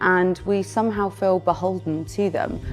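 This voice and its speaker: Music plays in the background as a woman speaks. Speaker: presenter and identity coach. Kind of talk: interview answer.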